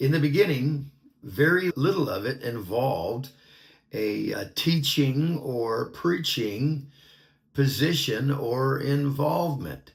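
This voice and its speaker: A man with an American accent speaks at a very slow pace. His voice is somewhat breathy, with ordinary pitch variation. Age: 60s. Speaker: minister. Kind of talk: personal testimony.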